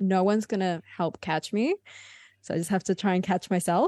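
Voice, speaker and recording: A woman at a fairly quick pace, dark and mellow in tone, in a dry, close sound with no echo and a quiet background. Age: 20s. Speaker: video creator. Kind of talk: casual chat. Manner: mumbly.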